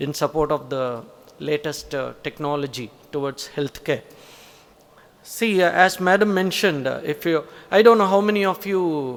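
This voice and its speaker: This man has a Tamil Nadu accent and a fairly high pitch for a man. He talks at a moderate pace with ordinary pitch variation and long, frequent pauses. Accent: Tamil Indian English. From Tamil Nadu, India. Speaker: college principal or senior academic. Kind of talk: formal conference address. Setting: auditorium conference with audience. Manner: hesitant, many fillers.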